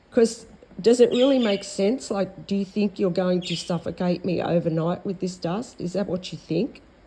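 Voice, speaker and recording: A woman speaks in an Australian accent at a moderate pace and medium pitch, with ordinary pitch variation. Her voice is somewhat breathy, with a dark, mellow tone. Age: 60s. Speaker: vlogger. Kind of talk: monologue. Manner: halting.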